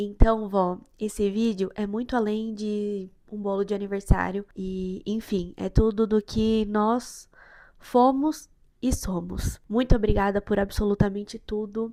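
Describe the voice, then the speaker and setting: On a very clean recording with a silent background, a woman speaks at a medium pitch and a fairly slow pace in a dark, mellow tone, her intonation monotone and flat while her loudness swings widely. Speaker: baker and vlogger. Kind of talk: cooking tutorial vlog. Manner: speaking softer on purpose.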